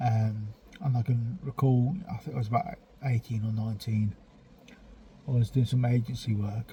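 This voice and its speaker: Pausing long and often, a man with an English accent speaks at medium pitch and a moderate pace, with ordinary pitch variation and noticeable background noise. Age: 40s. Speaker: vlogger. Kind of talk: casual monologue rant. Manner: halting, many fillers.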